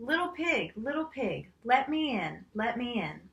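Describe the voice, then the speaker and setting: Putting on a character voice, a woman growls in a high pitch at a fairly slow pace. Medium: read story. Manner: menacing.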